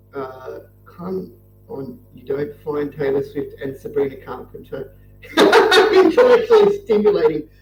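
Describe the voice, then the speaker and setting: Noticeable noise fills the background as the words come at a fairly slow pace. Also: man, long, frequent pauses, big swings in loudness. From Australia. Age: 30s. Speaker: truck driver and livestreamer. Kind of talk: casual chat while drawing on livestream. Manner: low-energy, subdued.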